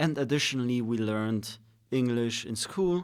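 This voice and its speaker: Speaking with a non-native accent, a man keeps a medium pitch, a moderate pace and ordinary pitch variation. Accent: foreign accent when speaking Polish. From Switzerland, Polish family. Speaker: podcast co-host. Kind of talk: casual chat.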